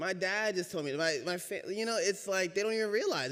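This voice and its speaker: A man with a high voice speaks at a fairly quick pace, his intonation lively. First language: Spanish. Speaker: racial equity trainer giving a church reflection. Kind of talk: talk from the pulpit. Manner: conversational, audience-engaging.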